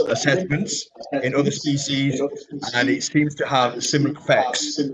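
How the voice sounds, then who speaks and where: This man has a fairly high pitch and an English accent. His intonation is fairly even. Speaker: professor. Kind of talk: lecture.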